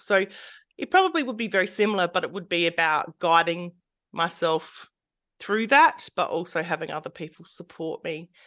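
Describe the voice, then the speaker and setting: A bright, sharp tone with an Australian accent, at a moderate pace with ordinary pitch variation over a quiet background. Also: woman. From rural South Australia. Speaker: art therapist and counsellor. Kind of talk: interview conversation.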